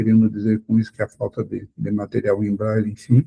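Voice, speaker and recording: Somewhat breathy and dark, mellow in tone, a man speaks at a fairly low pitch and a moderate pace. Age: 60s. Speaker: blind accessibility advocate. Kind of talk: podcast interview.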